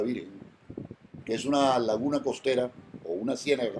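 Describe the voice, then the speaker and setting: A man at a fairly high pitch and moderate pace, with music in the background. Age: 60s. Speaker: environmental lawyer. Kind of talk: interview. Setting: at home.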